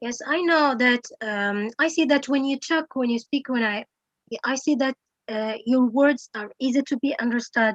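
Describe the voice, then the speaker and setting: Her sound dry and close with no echo, a woman speaks at a moderate pace in a high pitch with ordinary pitch variation. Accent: non-native. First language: not English. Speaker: English teacher. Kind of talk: Q&A session. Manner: halting.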